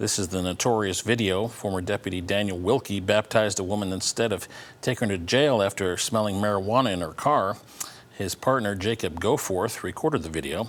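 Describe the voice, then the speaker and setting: A man with an ordinary speaking voice, fairly low pitch, fairly quick pace and ordinary pitch variation. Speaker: television news anchor. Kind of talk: television news anchor delivery.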